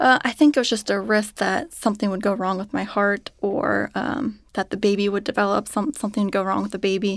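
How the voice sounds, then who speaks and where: A woman with a Midwestern American accent speaks at a medium pitch and a fairly quick pace, with ordinary pitch variation and hardly any pauses. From Cincinnati, Ohio, US Midwest. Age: 30s. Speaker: patient, mother. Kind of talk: interview, personal testimony. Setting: studio.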